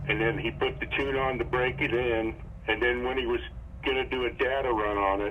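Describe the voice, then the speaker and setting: A man talks at a fairly quick pace with very even loudness, his voice carrying audible room echo over noticeable background noise. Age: 70s. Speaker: customer. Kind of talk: phone interview.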